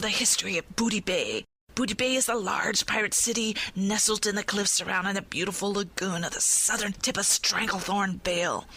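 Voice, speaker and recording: A put-on character voice, female-sounding and raspy, at a medium pitch for a woman, fairly quick and with hardly any pauses. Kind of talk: podcast segment with pirate talk.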